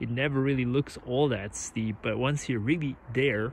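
A man speaks in a somewhat breathy voice with fairly even intonation. Light background noise can be heard. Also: dry sound with no echo. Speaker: vlogger filming a tour. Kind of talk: casual vlog chat. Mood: awed, relaxed. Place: open country. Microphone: phone near.

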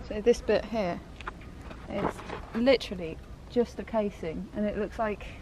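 Loud surrounding noise behind a woman's moderately paced speech. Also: dry sound with no echo. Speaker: travel vlogger. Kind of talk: casual vlog commentary. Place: open country. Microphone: phone near.

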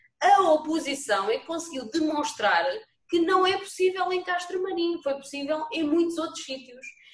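A woman speaks at an extremely high pitch, with audible room echo against a quiet background. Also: lively intonation, moderate pace. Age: 40s. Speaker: municipal vice-mayor. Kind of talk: council meeting debate. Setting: video call. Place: home room. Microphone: video call.

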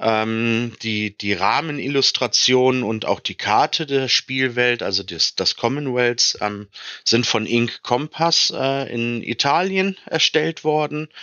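A man speaks at a medium pitch and a very slow pace, with hardly any pauses and ordinary pitch variation. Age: 30s. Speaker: tabletop role-playing game designer and game master. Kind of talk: podcast interview.

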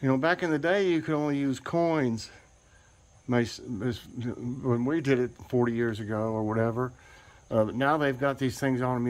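The speaker is a man. He talks at a moderate pace, with ordinary pitch variation. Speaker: home vlogger. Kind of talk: casual vlog chat. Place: street. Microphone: phone near.

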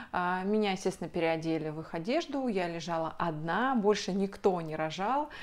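Over a quiet background, a woman speaks at a medium pitch with lively intonation. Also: moderate pace, hardly any pauses. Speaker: video blogger. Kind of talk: personal story to camera. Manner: chatty. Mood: emotional personal birth story. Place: home room.

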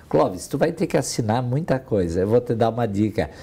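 Fairly quick, lively speech from a man with a dark, mellow, somewhat breathy voice. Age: 60s. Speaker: retired business executive. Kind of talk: interview; interview answer. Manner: halting. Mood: warm, reminiscing. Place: office. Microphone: lapel.

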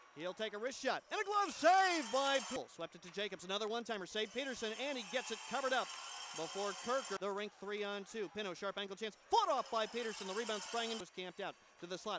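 Very fast, animated and excited male voice, high in pitch, with ordinary pitch variation amid noticeable background noise. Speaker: hockey play-by-play announcer. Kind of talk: hockey play-by-play commentary. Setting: rink broadcast over game highlights. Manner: fast, rapid-fire, animated call of the action; excited on goals.

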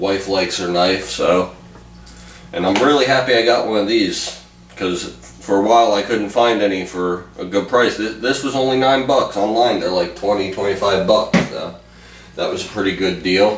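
In a space with audible room echo and light background noise, a man with a fairly low pitch talks at a moderate pace with ordinary pitch variation. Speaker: hobbyist vlogger. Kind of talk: casual vlog chat. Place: home room. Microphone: camera far.

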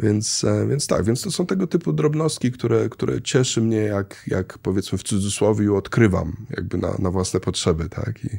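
A man with a fairly low pitch and a dark, mellow tone speaks at a moderate pace, showing vocal fry. He hardly pauses, and the background is quiet. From Poland, childhood partly in Kenya. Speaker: traveller and real estate investor; guest. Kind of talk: casual interview. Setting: studio. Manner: halting, many fillers. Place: studio. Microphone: studio mic.

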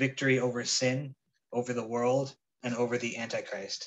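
The background stays quiet while the man talks. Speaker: church Bible study teacher. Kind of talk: sermon. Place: home room. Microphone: phone near.

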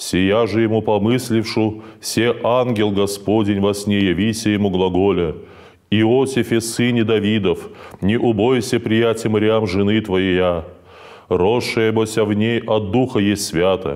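Over a quiet background, a man with a fairly low pitch speaks at a very slow pace, keeping fairly even intonation and very even loudness. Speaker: priest. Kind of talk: liturgical reading aloud. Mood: calm, solemn, even. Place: church.

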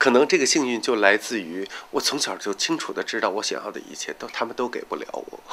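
This is a man speaking. His pace is moderate. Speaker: tailor and drag queen performer. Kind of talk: documentary interview answer. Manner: candid, hesitant, colloquial. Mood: reflective, bitter about childhood. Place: home room.

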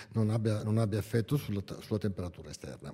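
A man's dark, mellow tone shows ordinary pitch variation against a quiet background. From northern Italy, Bergamo; Italy. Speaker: engineer and window consultant; presenter. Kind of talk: technical seminar talk. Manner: halting, with frequent self-corrections. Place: hall. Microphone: podium.

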